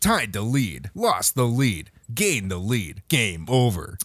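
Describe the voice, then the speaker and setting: A man puts on a character voice at a medium pitch with lively intonation. He speaks at a fairly slow pace. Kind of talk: announcer.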